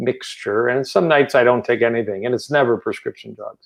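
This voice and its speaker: The speaker has an American accent and moves at a fairly quick pace. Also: man. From US Midwest, suburban Detroit, Michigan. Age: 60s. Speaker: cardiologist. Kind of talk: interview.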